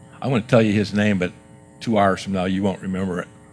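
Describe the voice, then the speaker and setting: A man speaks with a fairly low pitch while music plays in the background. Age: 60s. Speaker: guest speaker at youth service. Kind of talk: sermon. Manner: animated.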